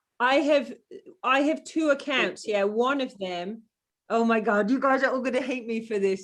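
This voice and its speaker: In an English accent, a woman speaks at a moderate pace with an animated tone and ordinary pitch variation. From England. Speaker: program participant. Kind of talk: casual chat.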